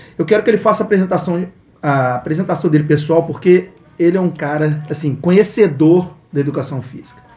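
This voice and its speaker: A man speaks in a high voice at a fairly quick pace. His pitch varies normally, and there is noticeable background noise. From Minas Gerais, Brazil. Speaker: podcast host. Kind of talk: casual interview chat. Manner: animated.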